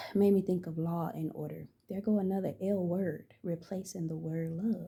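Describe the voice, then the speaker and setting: In a fairly low voice, a woman speaks at a moderate pace with monotone, flat intonation and a somewhat breathy quality. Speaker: spiritual channeler and tarot reader. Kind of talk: spiritual channeling monologue. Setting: at home. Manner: halting; soft-spoken.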